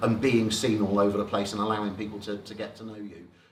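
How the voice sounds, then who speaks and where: With an Oxfordshire accent, a man talks at a fairly quick pace and a fairly low pitch, with noticeable background noise and audible room echo. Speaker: business networking speaker. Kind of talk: presentation to a networking group.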